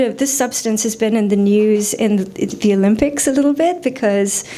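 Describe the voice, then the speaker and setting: Speaking at a moderate pace, a woman with a fairly high pitch and ordinary pitch variation is heard over noticeable background noise. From India. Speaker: poet. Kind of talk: poetry reading with commentary. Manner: halting, many fillers.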